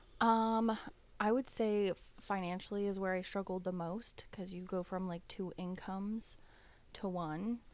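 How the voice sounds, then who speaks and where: In a very clean recording with a silent background, a woman talks in a normal speaking voice. Her pitch is medium, her intonation fairly even and her pace fairly slow. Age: 30s. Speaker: podcast guest, single mother. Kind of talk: casual chat.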